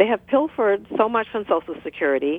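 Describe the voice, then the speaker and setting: Lively intonation marks a normal speaking voice that moves along at a fairly quick pace. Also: woman. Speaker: former politician. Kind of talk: panel discussion.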